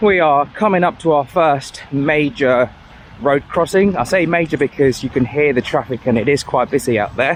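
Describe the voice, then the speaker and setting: The voice holds very even loudness and ordinary pitch variation at a moderate pace, with noticeable background noise. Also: man. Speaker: hiking vlogger. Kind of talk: vlog narration while walking. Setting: outdoors in the rain. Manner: halting, stuttering.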